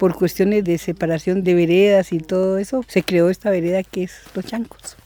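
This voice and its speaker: Against noticeable background noise, a man speaks at a high pitch and moderate pace with fairly even intonation, the sound dry and close with no echo. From Colombia, Valle del Cauca countryside. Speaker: farmer. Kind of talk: interview testimony.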